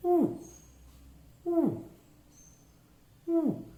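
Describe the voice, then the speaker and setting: An extremely high, resonant put-on character voice. A slight echo surrounds it. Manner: imitating an owl call.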